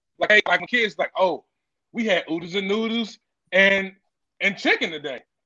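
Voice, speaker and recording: A raised, projected voice with an American accent, bright, sharp tone, ordinary pitch variation, moderate pace, long, frequent pauses, and a dry, close sound with no echo. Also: man, high pitch for a man. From Washington DC area. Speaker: chef. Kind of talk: casual chat.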